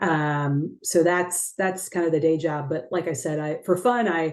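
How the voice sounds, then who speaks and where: A woman with an American accent talks in an ordinary speaking voice at a fairly low pitch and moderate pace. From Texas, San Antonio. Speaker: investment executive. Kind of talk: interview. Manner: many fillers and repetitions.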